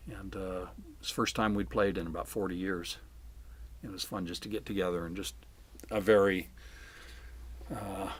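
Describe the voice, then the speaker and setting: Speaking at a moderate pace with long, frequent pauses, a man with an American accent uses a very deep, low pitch and ordinary pitch variation. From Southern California. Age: 70s. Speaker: retired English teacher and folk musician. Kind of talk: interview answers. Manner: casual, halting with fillers.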